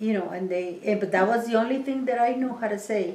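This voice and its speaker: Audible room echo surrounds a woman with a fairly high pitch and a Mexican accent. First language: Spanish. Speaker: interviewee, oral history. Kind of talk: oral history interview. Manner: halting, many fillers.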